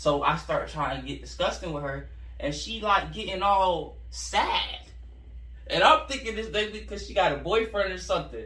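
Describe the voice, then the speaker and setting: Audible room echo and noticeable background noise around a man at a moderate pace. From Central Florida. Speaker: rapper. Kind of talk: casual interview.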